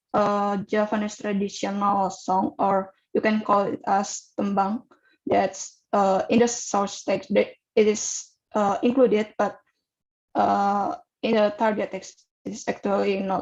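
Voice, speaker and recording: A woman with an Indonesian accent and fairly even intonation. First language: Javanese. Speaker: student researcher presenting paper. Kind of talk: Q&A session at academic webinar. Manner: halting, many fillers.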